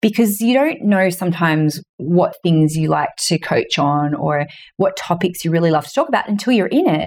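With an ordinary speaking voice, a woman speaks at a moderate pace, her pitch fairly low and her intonation lively, while her loudness stays very even. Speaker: author and business mentor. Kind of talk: interview conversation.

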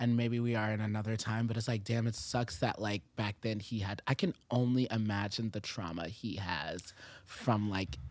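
A plain, everyday voice from a man with an American accent, fairly low in pitch, moderate in pace, with ordinary pitch variation and a very clean recording over a silent background. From Japan and US military bases. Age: 20s. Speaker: rapper and singer. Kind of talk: casual chat. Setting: studio.

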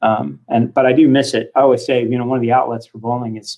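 A man with an American accent talks at a very fast pace. His intonation stays fairly even. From Kansas (Hutchinson). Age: 40s. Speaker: bowling organization executive. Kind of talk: podcast interview. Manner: halting, repeats words.

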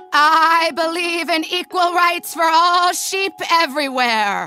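The speaker uses a put-on character voice with an extremely high pitch. The pace is fairly slow. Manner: earnest.

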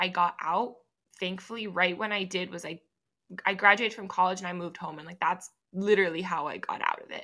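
Speaking very fast at a medium pitch, a woman has a bright, sharp tone and ordinary pitch variation. She leaves long, frequent pauses. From Miami, Florida. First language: Spanish. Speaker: law student and podcaster. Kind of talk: casual interview.

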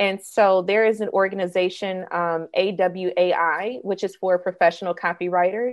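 A woman's medium-pitched voice, a normal speaking voice with an American accent, at a moderate pace with hardly any pauses. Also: fairly even intonation. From US South, Mississippi (Jackson suburb). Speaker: copywriter and entrepreneur. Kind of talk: interview conversation.

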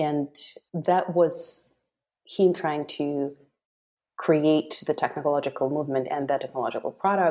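A woman with a Russian accent speaks at a moderate pace in a very deep, low voice, her tone dark and mellow and her intonation fairly even. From Russia, Moscow. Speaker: web3 marketing lead. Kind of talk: interview.

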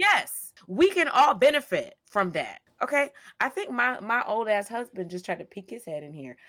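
Animated and at a moderate pace, a woman with an American accent speaks at a fairly high pitch with very wide pitch swings. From US South, Georgia. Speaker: podcast co-host. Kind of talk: casual chat.

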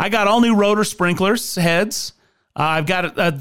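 An animated man with ordinary pitch variation. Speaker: radio host. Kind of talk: radio DJ patter: upbeat sponsor reads, chatty intros and sign-offs. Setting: radio studio broadcast. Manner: animated, friendly, fast-flowing, salesy.

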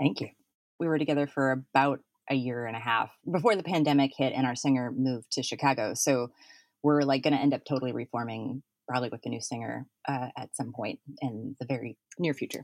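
Very fast speech with fairly even intonation and a dry, close sound with no echo. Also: woman, very deep, low pitch for a woman. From North Dakota, Fargo. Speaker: podcaster and professor. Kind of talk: casual interview chat. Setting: remote call from a basement.

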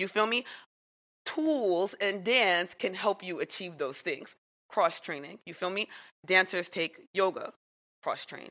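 With a New York accent, a woman speaks at a medium pitch and a fairly slow pace, her bright, sharp tone carrying lively intonation and big swings in loudness, with long, frequent pauses against a quiet background. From New York City (Jamaica, Queens). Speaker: dance teacher. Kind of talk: casual chat.

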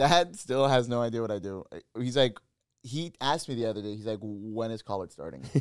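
In an ordinary speaking voice, a man talks at a fairly quick pace and medium pitch. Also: lively intonation. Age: 20s. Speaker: podcast host. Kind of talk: casual chat.

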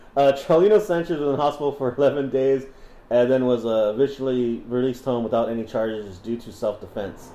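With ordinary pitch variation and a medium pitch, a man delivers his words at a fairly quick pace. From Southern California. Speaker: podcast host. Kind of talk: casual chat, storytelling. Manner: casual, profane, laughing.

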